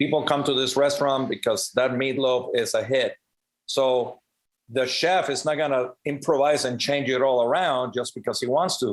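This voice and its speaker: This man speaks with a Spanish accent at a moderate pace, his fairly high pitch carrying fairly even intonation and very even loudness. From Cuba, then Puerto Rico and Las Vegas. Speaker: professional drummer and percussionist. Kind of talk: podcast interview. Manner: conversational, many fillers.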